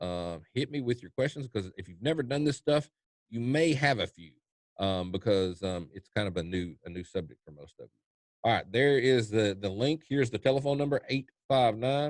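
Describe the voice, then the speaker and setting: A man speaks at a medium pitch with lively intonation and big swings in loudness. The sound is dry and close, with no echo. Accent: Kentucky. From US South, eastern Kentucky. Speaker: trading educator. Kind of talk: webinar Q&A. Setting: online webinar. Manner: fast; halting, many fillers and repeats.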